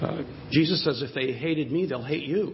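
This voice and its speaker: An ordinary speaking voice comes through at a moderate pace with ordinary pitch variation. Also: man. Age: 60s. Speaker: preacher. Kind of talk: sermon. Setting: church.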